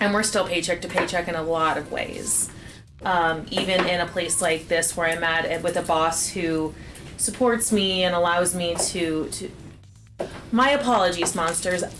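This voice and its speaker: A fairly low-pitched woman at a moderate pace with ordinary pitch variation, amid audible room echo and noticeable background noise. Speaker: parent and partner of the cooking show host. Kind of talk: casual livestream chat.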